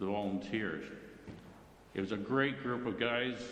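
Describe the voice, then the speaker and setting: With audible room echo, a man with a Canadian accent speaks at a medium pitch and a fairly slow pace. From Ontario, Canada (Brampton area). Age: 70s. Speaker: retired firefighter, club member. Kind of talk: personal life-story talk to club meeting. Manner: casual, halting with fillers.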